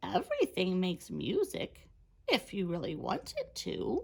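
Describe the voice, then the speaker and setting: A woman performs a put-on character voice at a moderate pace. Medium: read story.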